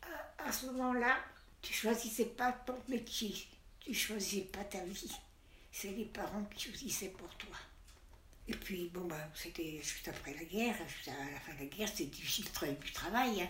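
With lively intonation and a medium pitch, a woman talks at a fairly slow pace with long, frequent pauses, amid noticeable background noise and audible room echo. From Savoie, France. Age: 90s. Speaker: grandmother interviewed. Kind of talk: interview testimony. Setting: retirement home room.

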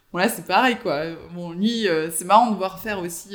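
Speaking at a fairly quick pace, a man keeps ordinary pitch variation. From southern France, Avignon. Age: 30s. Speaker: fashion entrepreneur. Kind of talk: interview. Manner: hesitant, many fillers.

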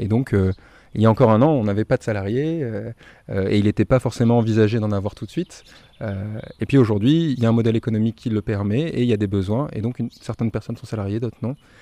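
In a dry, close recording with no echo, a man with a dark, mellow tone and medium pitch speaks very fast, his pitch varying in an ordinary way. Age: 20s. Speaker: eco-campus volunteer coordinator. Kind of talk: interview. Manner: halting, many hesitations.

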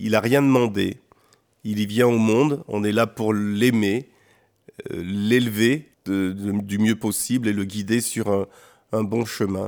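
Speaking at a very slow pace with long, frequent pauses, a man uses a fairly low voice and fairly even intonation. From France, born in Benin. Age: 50s. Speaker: real estate agent and singer. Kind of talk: radio interview. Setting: studio. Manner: halting.

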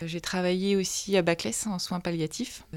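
In a very clean recording with a silent background, a woman speaks with fairly low pitch and fairly even intonation. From Normandy (Manche). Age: 20s. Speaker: medical intern (general practice). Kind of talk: interview. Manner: hesitant, many fillers.

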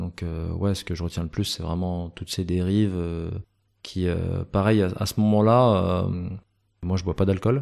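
Against a quiet background, a man speaks with a very deep, low pitch, a dark, mellow tone and fairly even intonation. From France, Grenoble. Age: 30s. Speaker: talent and sports agent, former bar owner. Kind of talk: interview. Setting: his new office.

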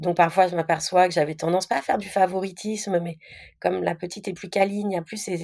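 With a fairly low pitch and fairly even intonation, a woman talks at a very fast pace while her loudness swings widely. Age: 30s. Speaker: stepmother sharing her experience. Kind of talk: casual interview testimony.

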